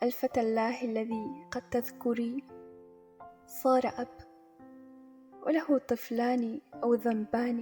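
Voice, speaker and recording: Over music in the background, a woman with a high pitch speaks at a very slow pace with fairly even intonation and long, frequent pauses. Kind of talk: poetry reading.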